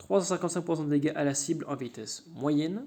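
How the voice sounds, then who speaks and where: A man's fairly high voice with a dark, mellow tone, fairly even intonation and a fairly quick pace. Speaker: gaming YouTuber. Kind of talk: game commentary video. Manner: casual, hesitant fillers.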